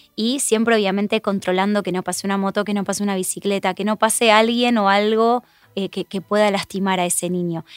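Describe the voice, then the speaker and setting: A woman with an Argentine accent talks at a fairly quick pace in a medium pitch and a monotone, flat intonation. The sound is dry and close, with no echo. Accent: Argentine Spanish (Rioplatense). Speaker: road safety educator. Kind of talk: interview.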